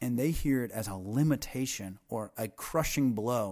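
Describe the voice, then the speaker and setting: Captured in a very clean recording with a silent background, a man has an unremarkable speaking voice at a medium pitch with lively intonation. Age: 30s. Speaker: pastor. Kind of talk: casual chat.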